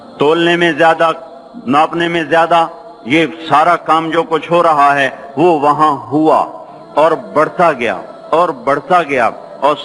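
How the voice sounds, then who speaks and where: A man's fairly high voice comes through with noticeable noise in the background. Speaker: Islamic scholar / preacher. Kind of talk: religious sermon (bayan).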